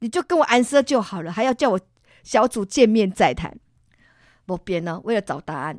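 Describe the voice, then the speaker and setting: Her voice fairly high for a woman, she speaks in an animated tone with long, frequent pauses, very wide pitch swings and big swings in loudness, recorded dry and close with no echo in a very clean recording with a silent background. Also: moderate pace. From Taiwan, Tainan. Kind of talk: testimony.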